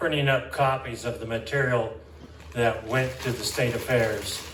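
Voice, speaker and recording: Noticeable background noise and audible room echo surround a man's voice. He has a medium pitch and fairly even intonation. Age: 70s. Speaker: state legislator. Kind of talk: legislative floor debate speech.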